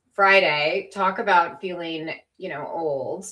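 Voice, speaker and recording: A woman with an American accent uses an ordinary speaking voice at medium pitch and a fairly slow pace. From United States. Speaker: virologist, co-host. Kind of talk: casual chat.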